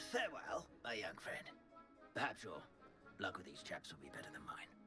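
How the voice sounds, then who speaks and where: A man's put-on character voice at a moderate pace, with clear music in the background. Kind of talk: genteel old English. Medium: video game. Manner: hesitant, polite, many um and uh.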